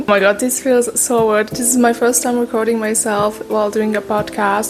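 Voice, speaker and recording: Over noticeable background noise, a woman talks at a fairly quick pace with a fairly high pitch and a monotone, flat delivery. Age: young. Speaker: artist. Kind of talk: casual talk to camera.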